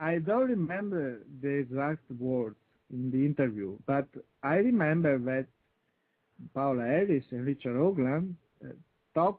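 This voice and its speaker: A man speaks with lively intonation in an Italian accent. His speech has long, frequent pauses. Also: moderate pace. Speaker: UFO researcher. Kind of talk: interview. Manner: halting. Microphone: intermittent connection, poor sound.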